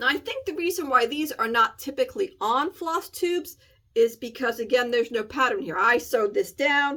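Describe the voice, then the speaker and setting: A woman with a high pitch uses a raised, projected voice at a moderate pace, her pitch swinging very widely. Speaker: cross-stitch video host. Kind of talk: casual chat.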